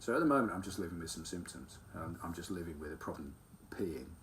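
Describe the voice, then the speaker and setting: With audible room echo, a man speaks at a fairly quick pace, his very deep, low pitch paired with a bright, sharp tone. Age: 50s. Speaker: carpenter sharing his illness. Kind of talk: personal testimony monologue. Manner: halting, many ums.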